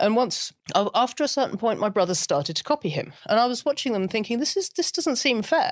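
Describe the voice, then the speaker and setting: A woman talks at a very fast pace and high pitch, with very wide pitch swings. The sound is dry and close, with no echo. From Britain. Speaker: writer and author. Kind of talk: interview conversation.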